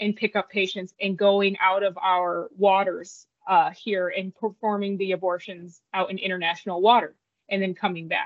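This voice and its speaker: A woman speaks at a moderate pace with an American accent, her pitch medium. It is a plain, everyday voice with fairly even intonation. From upstate New York. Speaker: nurse sonographer, former Air Force nurse. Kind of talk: interview testimony.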